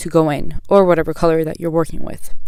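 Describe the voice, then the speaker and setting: Talking very fast, a woman keeps a fairly low pitch and a monotone, flat intonation. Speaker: beauty vlogger. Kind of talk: makeup tutorial narration. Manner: hesitant, stuttering.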